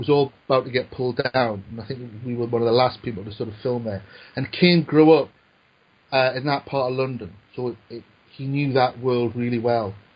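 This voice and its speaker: Fairly quick, somewhat breathy speech with a Newcastle accent and fairly even intonation. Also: man, medium pitch for a man. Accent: Newcastle (Geordie). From northern England, Newcastle. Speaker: screenwriter. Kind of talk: casual chat. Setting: podcast. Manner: halting, repeats words.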